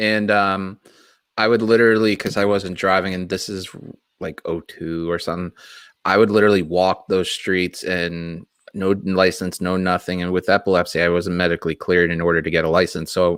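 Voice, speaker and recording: Intonation stays monotone and flat at a fairly quick pace. The recording is very clean, with a silent background. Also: man, very deep, low pitch for a man. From Massachusetts, Boston area. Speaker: wrestling podcast host. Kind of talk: casual chat.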